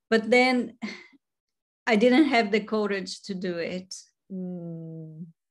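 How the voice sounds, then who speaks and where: Against a quiet background, a woman speaks at a very slow pace with long, frequent pauses. Her pitch is medium, with ordinary pitch variation. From Brazil. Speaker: photographer. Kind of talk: interview. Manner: halting.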